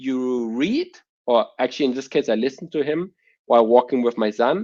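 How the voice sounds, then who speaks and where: A man talks with lively intonation and a German accent. The background is quiet. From Germany. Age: 30s. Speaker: entrepreneur. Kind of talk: interview. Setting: podcast.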